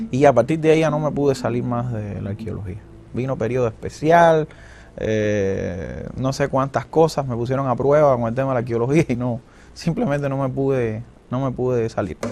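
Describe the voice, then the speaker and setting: A man with a Cuban accent talks at a moderate pace in a medium pitch, with ordinary pitch variation. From Sagua la Grande, Cuba. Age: young. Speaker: archaeologist; radio and television announcer. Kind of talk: interview answer.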